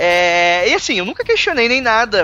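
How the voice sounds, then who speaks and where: A man's high, raised and projected voice with a bright, sharp tone and a dry, close sound with no echo. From Brazil. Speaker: podcaster. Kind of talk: casual interview. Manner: hesitant, filler-heavy.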